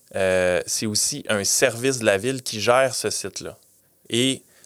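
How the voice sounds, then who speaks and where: A man talks at a very slow pace at a medium pitch. His pitch variation is ordinary, and the recording is very clean with a silent background. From Quebec (Granby). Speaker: city events manager. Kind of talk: interview. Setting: studio.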